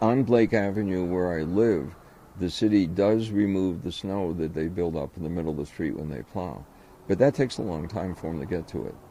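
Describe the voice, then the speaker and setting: At a fairly quick pace, a man speaks in a very deep, low pitch with ordinary variation. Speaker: blind resident using a cane. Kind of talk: interview testimony.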